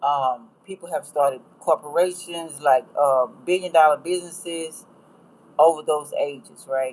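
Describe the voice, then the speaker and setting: A woman speaks with an American accent and a very deep, low pitch. Her intonation is fairly even, and her pace is fairly slow. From US, rural. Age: 60s. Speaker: astrology tarot reader. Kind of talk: livestream talk. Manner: casual, rambling.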